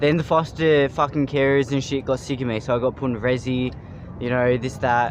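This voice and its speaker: Speaking in a monotone, flat intonation, a man with a medium pitch talks at a fairly quick pace. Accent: Australian. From Australia, adopted from Thailand at two. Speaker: street interviewee. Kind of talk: street interview.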